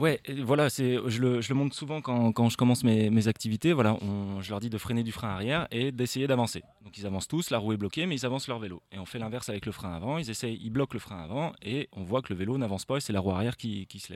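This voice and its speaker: This man talks very fast with hardly any pauses. His pitch sits in the medium range and varies in the ordinary way. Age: young. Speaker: mountain bike instructor. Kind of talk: live interview. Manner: halting.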